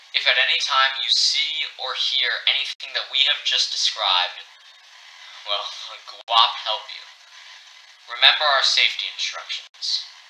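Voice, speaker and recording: A man speaks at a fairly slow pace with long, frequent pauses. Noticeable background noise runs underneath. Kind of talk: emergency broadcast fiction. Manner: grave, urgent, formal newsreader tone; deadpan delivery of absurd names.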